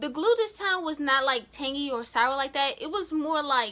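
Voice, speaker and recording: A raised, projected voice with a bright, sharp tone comes through on a very clean recording with a silent background. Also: woman. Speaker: vlogger. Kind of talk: casual vlog talk. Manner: chatty, lots of fillers.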